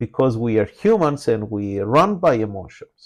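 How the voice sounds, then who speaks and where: Intonation is lively. The pace is fairly slow. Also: man. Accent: non-native. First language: not English. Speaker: trading educator. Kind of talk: live trading webinar. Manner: frequent filler hesitations.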